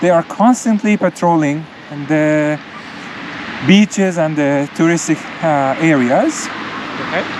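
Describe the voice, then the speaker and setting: The speech moves at a fairly slow pace, broken by long, frequent pauses. Noticeable background noise runs underneath. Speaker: travel vlogger. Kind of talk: casual travel commentary while walking. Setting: outdoors on a beach.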